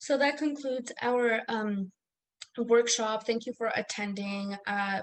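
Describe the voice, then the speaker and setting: A woman with a non-native accent speaks at a very slow pace. Her pitch is fairly high and her intonation fairly even. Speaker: academic coach. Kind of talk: online workshop presentation. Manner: hesitant, many fillers.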